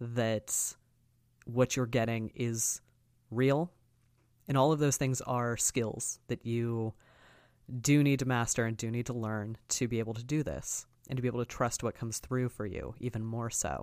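At a moderate pace, a man with a medium-pitched voice talks with long, frequent pauses. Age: 30s. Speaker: podcast host and spiritual practitioner. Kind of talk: solo monologue podcast. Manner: animated.

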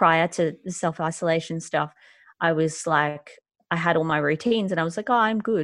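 An Australian accent over a quiet background. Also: woman. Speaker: author and mental health speaker. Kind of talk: interview conversation.

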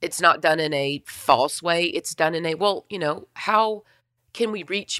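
A woman speaks at a low pitch and a fairly slow pace, her voice husky and raspy with a fairly bright tone. Her pitch varies in an ordinary way, and the recording is very clean with a silent background.

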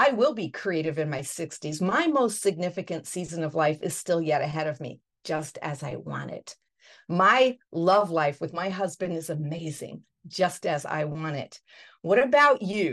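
With an ordinary speaking voice, a woman talks at a moderate pace in a fairly low pitch, her intonation lively. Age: 60s. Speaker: podcast host. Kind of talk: interview.

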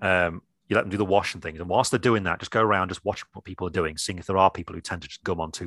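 A man with an English accent and a very deep, low voice speaks very fast, with a dry, close sound and no echo. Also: quiet background. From England. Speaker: miniature painting teacher. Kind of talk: casual chat.

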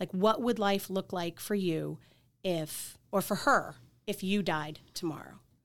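A woman with a slight Boston accent speaks at a medium pitch with fairly even intonation, on a very clean recording with a silent background. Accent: Boston accent, slight to moderate. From Boston area, Massachusetts. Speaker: life insurance agent. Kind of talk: casual chat.

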